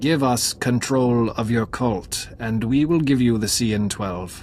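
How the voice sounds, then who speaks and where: A put-on character voice at a fairly slow pace, with clear background noise. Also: man, medium pitch for a man. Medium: video game. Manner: measured, cryptic.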